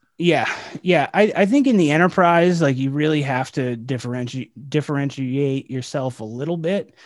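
A man with a normal speaking voice and fairly high pitch talks at a moderate pace with ordinary pitch variation. The recording is very clean, with a silent background. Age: 30s. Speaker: sales podcast host. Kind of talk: casual chat.

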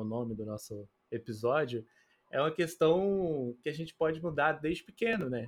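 Moderately paced talk from a man using a normal speaking voice, his pitch fairly high. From Betim, Minas Gerais, Brazil. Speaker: podcast co-host. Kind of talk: interview.

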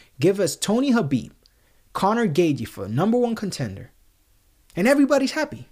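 A man with a Spanish accent speaks at a moderate pace. His pitch swings very widely. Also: very clean recording, silent background. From Puerto Rico. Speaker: MMA podcast host. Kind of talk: solo commentary podcast.

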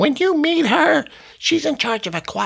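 The speaker uses a put-on character voice with a high pitch and talks at a moderate pace. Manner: put-on imitation voice.

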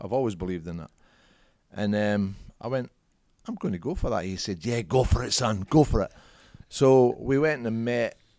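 A man with a strong Scottish accent speaks at a moderate pace in a medium pitch, with a dark, mellow tone and lively intonation. Long, frequent pauses break his speech in a very clean recording with a silent background. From Scotland. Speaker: former professional footballer and business CEO. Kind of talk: casual interview chat.

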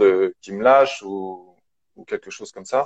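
Recorded with a dry, close sound and no echo, a man talks at a fairly slow pace with ordinary pitch variation. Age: 40s. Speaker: mental coach. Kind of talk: interview testimony. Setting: video call (Instagram live). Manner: halting.

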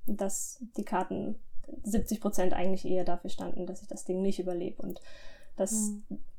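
A woman uses an ordinary speaking voice at a medium pitch with fairly even intonation. Her pace is moderate, though her loudness swings a lot. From southwestern Germany (Lörrach, Baden). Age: 20s. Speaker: medical student recounting illness. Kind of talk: testimony.

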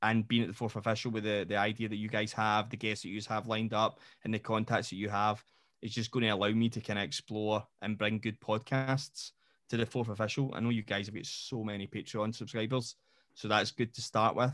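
A man with a Scottish accent speaks fairly quickly in a flat monotone at a fairly low pitch. The recording is very clean, with a silent background. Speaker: football podcast host and coach. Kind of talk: casual chat.

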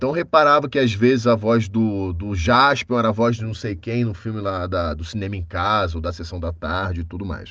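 A man speaks fairly quickly in a plain, everyday voice with lively intonation. The background is quiet. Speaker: voice actor. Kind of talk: casual chat.

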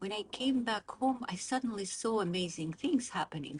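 A woman's voice, somewhat breathy, swings very widely in pitch. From Azerbaijan (Baku). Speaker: political scientist. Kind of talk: interview. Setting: in person, Oxford.

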